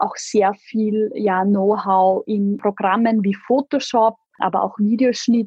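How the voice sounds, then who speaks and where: Very slow speech from a woman, fairly high in pitch, somewhat breathy, with fairly even intonation. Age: 30s. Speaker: corporate spokesperson. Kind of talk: interview.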